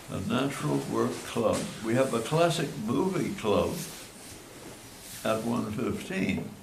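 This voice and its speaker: The speech comes at a very slow pace with long, frequent pauses, over noticeable background noise. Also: man. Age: 80s+. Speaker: retired cultural analyst and consultant. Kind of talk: informal seminar talk.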